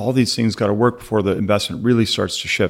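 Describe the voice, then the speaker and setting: In a very clean recording with a silent background, a man of medium pitch speaks in a monotone, flat intonation. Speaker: tech account executive. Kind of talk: casual industry discussion. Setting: studio.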